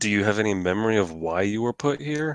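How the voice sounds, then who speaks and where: In a put-on character voice, someone rattles along at a very fast pace with a low pitch over a quiet background. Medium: actual play. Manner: measured, formal.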